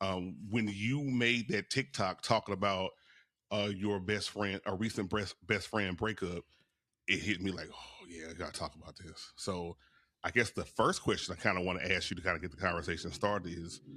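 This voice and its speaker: A man with a Louisiana accent and a very deep, low pitch, bright and sharp in tone, with ordinary pitch variation on a very clean recording with a silent background. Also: moderate pace. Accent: Louisiana Southern US. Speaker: podcast host. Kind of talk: casual interview chat.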